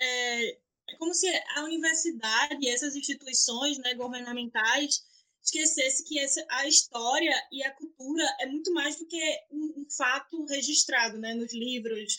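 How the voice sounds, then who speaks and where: Raising and projecting her voice, a woman speaks at a fairly slow pace with a high pitch, a bright, sharp tone and ordinary pitch variation. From Recife, Brazil. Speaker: actress and podcast host. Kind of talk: interview.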